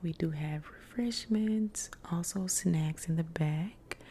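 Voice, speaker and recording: Very deep and low in pitch, a woman speaks softly at a very slow pace with ordinary pitch variation. Her tone is dark, mellow and gentle, and somewhat breathy. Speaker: ASMR content creator doing a librarian roleplay. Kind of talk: ASMR roleplay, helpful library desk service. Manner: soft-spoken, gentle.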